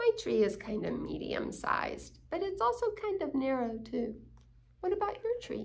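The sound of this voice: A woman talks at a moderate pace in a high pitch, with very wide pitch swings and vocal fry.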